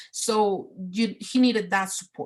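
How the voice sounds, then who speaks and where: A woman's somewhat breathy, monotone, flat delivery in a Spanish accent. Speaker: parent presenter at a training. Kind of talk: online training presentation. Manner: halting, many fillers and repetitions.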